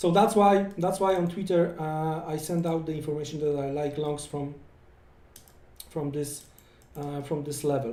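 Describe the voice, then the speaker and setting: With audible room echo, a man with a non-native accent speaks in a dark, mellow tone and ordinary pitch variation. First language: not English. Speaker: forex trading educator. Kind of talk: live trading tutorial. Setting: live stream. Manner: halting, many fillers and repetitions.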